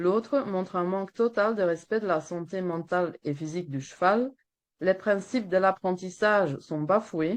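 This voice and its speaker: With a Flemish accent, a woman speaks at a fairly slow pace and medium pitch with ordinary pitch variation against a quiet background. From Flanders, Belgium. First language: Dutch (Flemish) (speaking French). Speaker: veterinarian and horse welfare activist. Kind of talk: webinar presentation read from a text. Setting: webinar.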